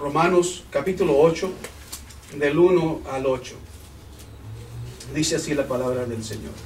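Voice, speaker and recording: A man at a fairly slow pace, with long, frequent pauses and ordinary pitch variation, amid audible room echo and noticeable background noise. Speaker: pastor. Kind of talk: sermon. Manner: halting.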